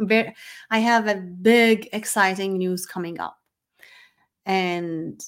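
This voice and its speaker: With ordinary pitch variation at a medium pitch, a woman is heard on a very clean recording with a silent background. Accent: non-native. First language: not English. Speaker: podcast host and business coach. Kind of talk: solo motivational monologue. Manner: casual, with frequent fillers and restarts.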